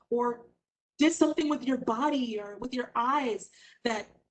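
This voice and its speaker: A woman speaks with an ordinary speaking voice at a moderate pace. Her pitch variation is ordinary. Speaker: stage actor. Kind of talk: panel discussion.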